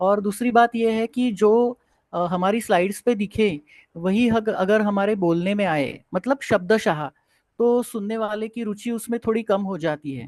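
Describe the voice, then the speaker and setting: The voice carries a Marathi accent and ordinary pitch variation. The sound is dry and close with no echo against a quiet background. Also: man, high pitch for a man. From Maharashtra, India. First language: Marathi (speaking Hindi). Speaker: Ayurveda and yoga professor. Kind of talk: online lecture Q&A. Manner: hesitant, many fillers.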